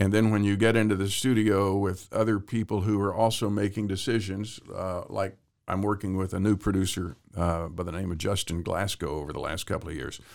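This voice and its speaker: A man with an American accent speaks in an ordinary speaking voice, fairly quick and with hardly any pauses, his fairly low pitch held in fairly even intonation, in a very clean recording with a silent background. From Central Texas. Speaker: actor and singer-songwriter. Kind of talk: interview.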